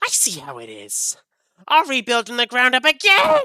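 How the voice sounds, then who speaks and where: Someone puts on a character voice pitched fairly high. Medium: actual play. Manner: booming, whining.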